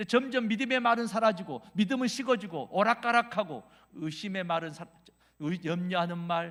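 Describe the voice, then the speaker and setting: A man's animated voice in a Jeolla accent, with lively intonation and a moderate pace, on a very clean recording with a silent background. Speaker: revival preacher, pastor. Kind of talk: sermon.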